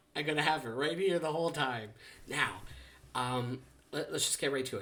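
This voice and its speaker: The man speaks quietly. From Canada. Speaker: trading card unboxing youtuber. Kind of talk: casual unboxing vlog. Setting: at home. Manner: quiet, holding back volume; rambling with many fillers and restarts.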